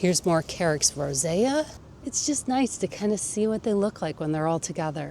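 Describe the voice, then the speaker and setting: With an enthusiastic tone, a woman at a fairly low pitch speaks at a moderate pace using very wide pitch swings. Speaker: gardening youtuber. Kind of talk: garden tour. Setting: outdoors. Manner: rising question-like intonation; casual, enthusiastic.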